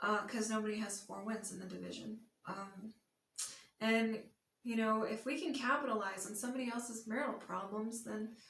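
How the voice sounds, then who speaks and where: A woman speaks at a moderate pace with a fairly high pitch and fairly even intonation. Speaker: sports vlogger. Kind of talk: casual monologue. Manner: hesitant with fillers.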